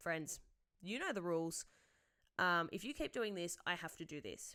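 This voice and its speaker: A woman with an Australian accent, fairly low pitch and ordinary pitch variation. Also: very clean recording, silent background. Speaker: secondary school teacher, podcast host. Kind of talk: podcast monologue answering listener questions. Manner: loud.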